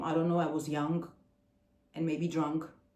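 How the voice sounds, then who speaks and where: A woman with an Armenian accent speaks at a moderate pace in a fairly low pitch, her intonation monotone and flat. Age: 40s. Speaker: singer and video blogger. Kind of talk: casual vlog talk. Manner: halting.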